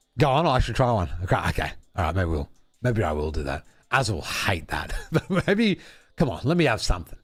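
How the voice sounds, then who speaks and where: A man with a medium pitch and vocal fry speaks in an animated tone at a fairly quick pace, with very wide pitch swings. The recording is very clean, with a silent background. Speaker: music streamer. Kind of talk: casual chat. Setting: live stream.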